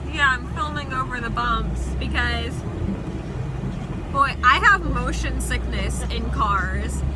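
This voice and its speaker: A woman at a very slow pace, dry sound with no echo, over loud background noise. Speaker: passenger vlogger. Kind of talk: casual vlog chat. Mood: cheerful, laughing. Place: car. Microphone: phone near.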